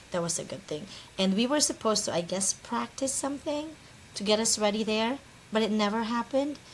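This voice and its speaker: Speaking fairly quickly at a medium pitch, the woman's voice carries vocal fry. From Philippines. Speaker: real estate investor. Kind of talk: casual interview chat. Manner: halting, many repeats.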